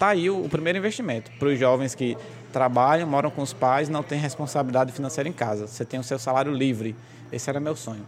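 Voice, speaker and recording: A man with a medium-pitched voice talks very fast, using ordinary pitch variation, over noticeable background noise. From Brazil, Goianinha, Rio Grande do Norte. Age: 20s. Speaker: banker and real estate broker. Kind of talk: casual interview. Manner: laughing a lot.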